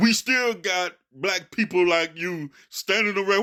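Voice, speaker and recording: Projecting a raised voice at a fairly slow pace, a man speaks high-pitched with a bright, sharp tone on a very clean recording with a silent background. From Memphis, Tennessee. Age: 60s. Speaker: radio host and commentator. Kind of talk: heated rebuttal monologue. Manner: animated, fussing.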